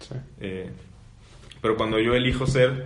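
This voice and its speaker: In a room with audible echo, a man talks with fairly even intonation. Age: 20s. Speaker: seminarian. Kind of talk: casual chat.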